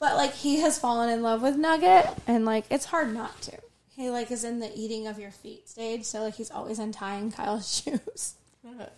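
A woman speaks at a moderate pace with a fairly high pitch, ordinary pitch variation, an unremarkable speaking voice, and big swings in loudness. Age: 40s. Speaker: podcast co-host. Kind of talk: casual chat.

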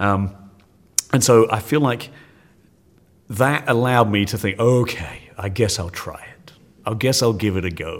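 A man speaks with an English accent at a medium pitch. His tone is energetic, with ordinary pitch variation. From England. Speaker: science teacher. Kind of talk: interview. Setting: conference.

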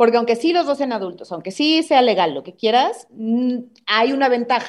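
A fairly quick woman's voice, fairly high in pitch, with very wide pitch swings. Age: 30s. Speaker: comedian. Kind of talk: casual chat.

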